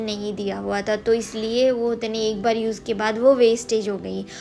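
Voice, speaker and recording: With music in the background, a woman in a Bengali accent speaks at a fairly high pitch with monotone, flat intonation. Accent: Bengali accent in Hindi. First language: Bengali (speaking Hindi). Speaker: lifestyle vlogger. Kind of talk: casual vlog talk. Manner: hesitant, many fillers.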